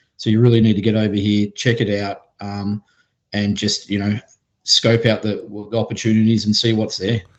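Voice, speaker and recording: A man with an Australian accent speaks at a moderate pace in a fairly low, monotone, flat voice. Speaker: venture capital investor. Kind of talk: podcast interview.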